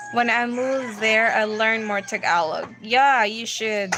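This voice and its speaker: Speaking very slowly with fairly even intonation, a woman with a fairly high pitch is heard over noticeable background noise. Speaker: livestream host. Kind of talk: livestream Q&A chat. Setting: livestream. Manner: casual.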